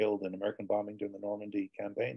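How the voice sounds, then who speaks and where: A man talks at a very fast pace. His fairly low voice has a dark, mellow tone. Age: 60s. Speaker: author and former soldier. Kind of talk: interview. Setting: video call. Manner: halting, many repetitions.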